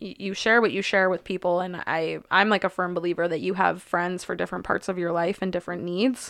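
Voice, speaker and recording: An ordinary speaking voice, a woman talks at a fairly quick pace in a fairly low pitch, with fairly even intonation and hardly any pauses. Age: 20s. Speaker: podcast co-host. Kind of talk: casual chat.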